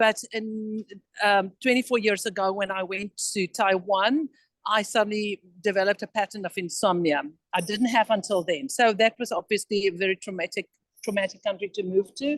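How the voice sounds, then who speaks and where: A woman's voice, an ordinary speaking voice, with ordinary pitch variation and a dry, close sound with no echo. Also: medium pitch for a woman, moderate pace. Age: 60s. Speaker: participant in wellness call. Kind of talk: casual chat. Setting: video call from an airport. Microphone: poor sound quality.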